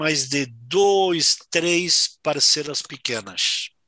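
This man talks at a very slow pace in a high pitch for a man. His tone is bright and sharp, with lively intonation. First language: Spanish (speaking Portuguese). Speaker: winery sales manager. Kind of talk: interview. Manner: hesitant, filler-heavy.

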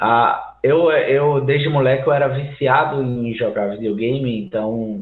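Medium-pitched male voice, an ordinary speaking voice, fairly slow pace and ordinary pitch variation. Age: 40s. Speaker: musician and game audio student. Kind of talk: casual chat.

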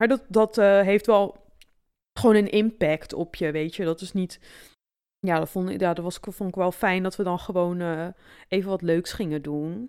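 A normal speaking voice at a moderate pace with fairly even intonation, captured in a very clean recording against a silent background. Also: woman, medium pitch for a woman. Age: 30s. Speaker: podcast co-host. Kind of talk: casual chat.

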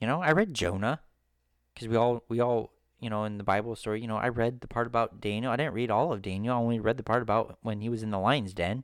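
A man talks at a very fast pace with a medium pitch and ordinary pitch variation. The recording is very clean, with a silent background. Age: 30s. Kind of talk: solo religious podcast talk. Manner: halting, many fillers and repetitions.

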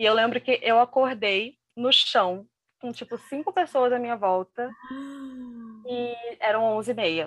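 A woman speaks very slowly in a high voice with ordinary pitch variation, her sound dry and close with no echo. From Brazil, Rio de Janeiro. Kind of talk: interview, personal testimony. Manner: halting, many fillers and repetitions.

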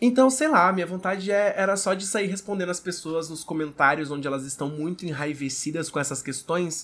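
In an animated tone, a man with a high pitch speaks at a moderate pace with lively intonation. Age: 20s. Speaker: podcaster and content creator. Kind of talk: casual chat.

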